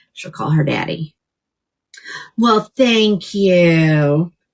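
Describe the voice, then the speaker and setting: Somewhat breathy, a woman with an American accent speaks at a fairly low pitch with lively intonation. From upstate New York, Hudson Valley (Newburgh). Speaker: wig seller, live shopping host. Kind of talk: live shopping sales pitch. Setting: livestream. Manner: chatty, animated.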